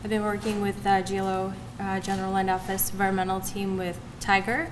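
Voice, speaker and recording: A woman talks at a very fast pace and a medium pitch. Room echo is audible. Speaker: state agency trainer. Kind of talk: training presentation. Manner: soft-spoken.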